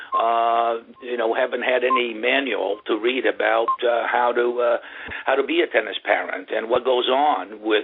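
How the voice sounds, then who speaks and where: Moderately paced speech from a man, with noticeable noise behind it. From Brazil, São Paulo. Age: 60s. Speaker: tennis coach. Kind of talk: interview. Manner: halting, many fillers.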